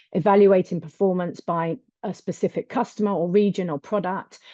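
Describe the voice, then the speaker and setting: In a British accent, a woman speaks at a fairly quick pace and medium pitch, her intonation fairly even. The background is quiet, and the sound is dry and close with no echo. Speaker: accounting adviser on a business webinar panel. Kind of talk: webinar panel presentation. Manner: fast; hesitant, many fillers.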